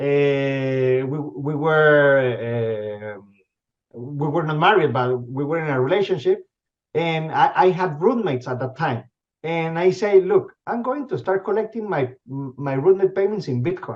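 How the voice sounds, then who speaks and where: A fairly high-pitched man with a Spanish accent and lively intonation. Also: fairly slow pace. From Venezuela. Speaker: company CEO. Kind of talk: interview. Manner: halting, many repetitions and fillers.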